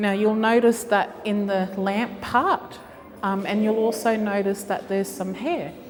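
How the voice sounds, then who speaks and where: A woman with an Australian accent at medium pitch, moderate pace and fairly even intonation, against noticeable background noise. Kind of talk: gallery talk. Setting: gallery with audience. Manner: loud.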